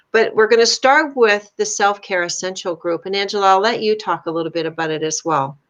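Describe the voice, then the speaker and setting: A normal speaking voice from a woman, medium in pitch and at a fairly quick pace. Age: 60s. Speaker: life coach and artist. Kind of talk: casual chat. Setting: live video stream.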